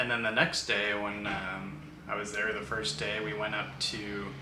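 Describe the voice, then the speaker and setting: With audible room echo and light background noise, a man talks at a moderate pace in a fairly low pitch. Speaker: travel vlogger. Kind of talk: casual vlog chat. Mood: relaxed, friendly. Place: home room.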